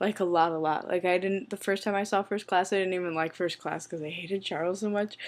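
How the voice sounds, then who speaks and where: A woman with an American accent talks at a very fast pace and medium pitch, fairly even in intonation and with hardly any pauses. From US Midwest, St. Louis, Missouri. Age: 20s. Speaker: vlogger. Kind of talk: reading a word list; casual vlog, answering a survey.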